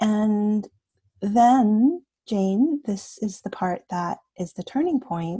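A woman at a very slow pace with a Canadian accent, fairly high in pitch, somewhat breathy and dark, mellow in tone, with lively intonation. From Canada. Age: 50s. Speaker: coach. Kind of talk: podcast interview. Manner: animated.

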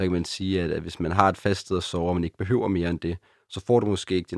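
A very deep, low pitch marks this voice. It belongs to a man. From Copenhagen, Denmark (Christianshavn). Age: 20s. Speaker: student without a fixed home. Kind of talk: interview.

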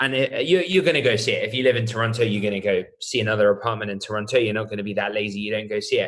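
A man with a British accent speaks at a very fast pace, with hardly any pauses. His pitch is medium, with ordinary pitch variation. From UK. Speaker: startup co-founder and CEO. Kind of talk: casual interview conversation.

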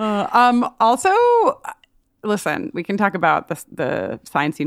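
A woman talks at a moderate pace, with vocal fry in her voice. The recording is very clean, with a silent background and a dry, close sound with no echo. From US Northeast, Long Island. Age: 30s. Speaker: writer and educator, podcaster. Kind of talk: casual chat.

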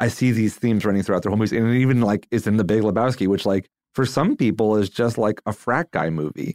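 A man with fairly low pitch talks at a very fast pace with hardly any pauses and ordinary pitch variation, in a dry, close sound with no echo on a very clean recording with a silent background. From Philadelphia. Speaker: musician, drummer. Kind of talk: casual chat. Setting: studio.

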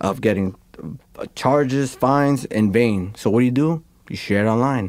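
A man speaks in a New York accent with a dark, mellow tone and ordinary pitch variation. The recording is very clean, with a silent background. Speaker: graffiti artist. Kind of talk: casual interview chat. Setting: studio. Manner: animated.

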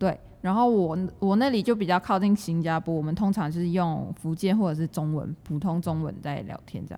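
A woman with a fairly low pitch and a dark, mellow tone talks at a fairly quick pace with ordinary pitch variation. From Malaysia, Johor near Singapore. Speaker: university student. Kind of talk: casual chat.

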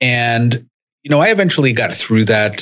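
The voice is an unremarkable speaking voice with an American accent. It moves at a fairly quick pace with ordinary pitch variation. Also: man. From US Northeast, Rhode Island (Central Falls). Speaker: podcast host. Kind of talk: personal storytelling monologue. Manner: casual with frequent fillers.

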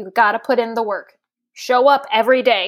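A woman with a high-pitched voice speaks in an animated tone on a very clean recording with a silent background. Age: 30s. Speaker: monster truck driver. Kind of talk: casual chat.

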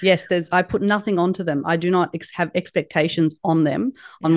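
In an Australian accent, a woman speaks at a moderate pace, the sound dry and close with no echo over a quiet background. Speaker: leadership guest speaker. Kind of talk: podcast interview.

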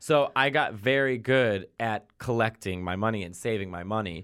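This man, with an American accent and a fairly low pitch, is heard on a very clean recording with a silent background. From Chicago, US Midwest. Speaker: stand-up comedian. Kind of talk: casual interview chat.

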